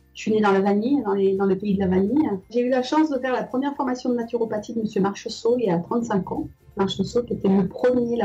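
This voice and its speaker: Very fast speech from a woman with a fairly high pitch and ordinary pitch variation, music in the background. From Madagascar. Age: 60s. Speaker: aromatherapy course student. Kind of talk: testimony interview. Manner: halting.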